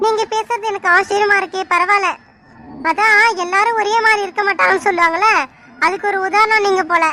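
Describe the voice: Cartoonish character voice, female-sounding and extremely high-pitched, at a moderate pace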